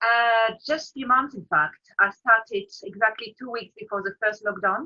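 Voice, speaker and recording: A woman's fairly high voice in a French accent, with big swings in loudness and ordinary pitch variation. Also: moderate pace. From France, Paris. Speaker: freelance business support provider. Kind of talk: casual interview.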